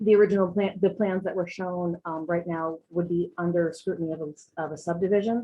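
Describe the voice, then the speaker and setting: With an ordinary speaking voice, a woman of fairly low pitch talks at a moderate pace with fairly even intonation. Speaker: public commenter at town meeting. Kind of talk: public comment at zoning hearing. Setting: virtual meeting.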